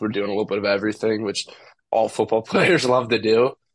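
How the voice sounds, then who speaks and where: A man speaks at a fairly quick pace with a fairly low pitch. His intonation is monotone and flat, and the background is quiet. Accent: Midwestern American. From St. Louis, Missouri. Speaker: college football recruit. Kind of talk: interview.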